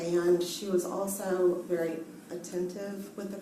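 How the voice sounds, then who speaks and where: In a room with audible echo and noticeable background noise, a soft-spoken woman talks very slowly at a fairly low pitch. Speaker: nurse testifying as a witness. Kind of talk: court testimony. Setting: courtroom. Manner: hesitant, many ums.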